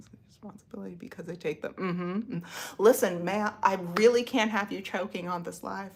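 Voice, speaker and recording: A woman's medium-pitched voice with vocal fry, fairly even intonation, big swings in loudness and a fairly quick pace. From United States. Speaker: livestreamer. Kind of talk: casual chat.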